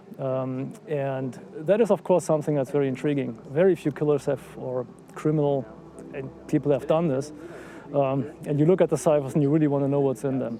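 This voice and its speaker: Speaking in a German accent, a man with a fairly high pitch moves at a fairly quick pace, with ordinary pitch variation. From Germany. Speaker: citizen investigator. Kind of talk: interview. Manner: hesitant, many fillers.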